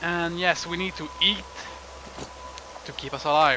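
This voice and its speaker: With a French Canadian accent, a man talks at a moderate pace and a high pitch. There is noticeable background noise behind him. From Canada. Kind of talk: let's play game commentary. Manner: casual, joking.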